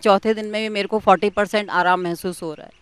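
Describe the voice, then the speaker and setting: A woman at a medium pitch is heard in a dry, close sound with no echo. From Delhi, India. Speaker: yoga teacher, testimonial speaker. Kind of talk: testimony.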